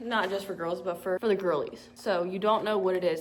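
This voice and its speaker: Fairly quick speech from a woman, pitched in the medium range. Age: 20s. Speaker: vlogger. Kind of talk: casual vlog. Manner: loud; animated.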